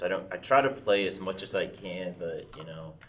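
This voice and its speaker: A man speaks with an American accent at a fairly low pitch. There is audible room echo. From Arkansas, Pine Bluff. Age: 30s. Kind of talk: panel discussion. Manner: halting, many fillers.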